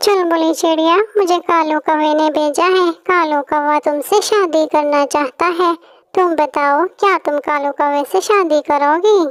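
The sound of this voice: A woman's cartoonish character voice, extremely high-pitched, at a fairly slow pace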